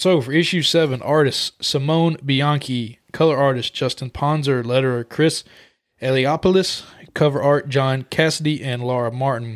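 A man's ordinary speaking voice, fairly high in pitch, at a moderate pace with fairly even intonation, in a very clean recording with a silent background. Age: 20s. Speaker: comic book podcast co-host. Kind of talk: casual chat.

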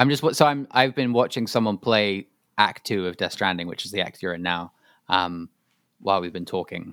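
Recorded dry and close with no echo over a silent background, this very clean clip has an unremarkable speaking voice. A man talks at a moderate pace in a fairly low voice with ordinary pitch variation. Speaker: podcast co-host. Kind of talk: casual chat.

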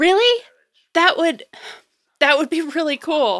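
A woman performs a put-on character voice, high-pitched with a fairly bright tone. She speaks slowly, with big pitch swings.

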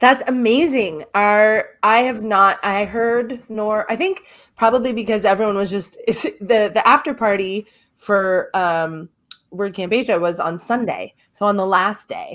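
A woman uses an ordinary speaking voice at a fairly slow pace, with a fairly high pitch and ordinary pitch variation. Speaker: podcast co-host. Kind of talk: casual chat.

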